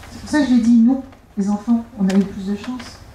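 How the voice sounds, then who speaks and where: Noticeable background noise fills the recording. Her pitch sits fairly high for a woman and varies in an ordinary way. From Algeria. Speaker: author. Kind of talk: author talk. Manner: halting.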